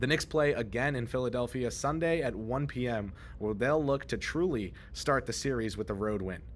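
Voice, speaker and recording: Moderate-paced man at a medium pitch, ordinary pitch variation, in audible room echo. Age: 20s. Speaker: sports reporter. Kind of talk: on-site sports news report. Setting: on-site at an arena after a game.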